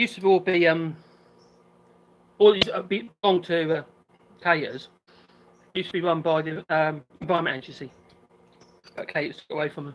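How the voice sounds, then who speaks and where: The speaker has a slight Norfolk accent and a fairly quick pace. Long pauses come often. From England, Norfolk. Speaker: island resident on a live stream. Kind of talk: casual chat. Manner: mumbling.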